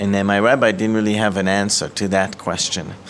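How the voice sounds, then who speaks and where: Over noticeable background noise, a man speaks with an Israeli accent. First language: Hebrew. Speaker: ministry director. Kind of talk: testimony. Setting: office.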